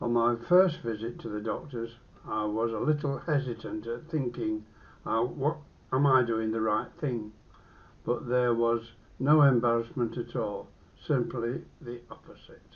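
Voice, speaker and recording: A man with an English accent talks fairly slowly. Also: medium pitch for a man, ordinary pitch variation. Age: 80s+. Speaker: vlogger documenting his cancer. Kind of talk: personal video diary. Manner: halting.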